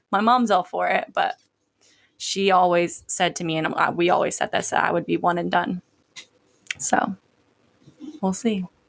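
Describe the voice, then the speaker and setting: A woman at a moderate pace. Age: 30s. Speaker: podcast host. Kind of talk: casual chat. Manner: casual, filler-heavy speech.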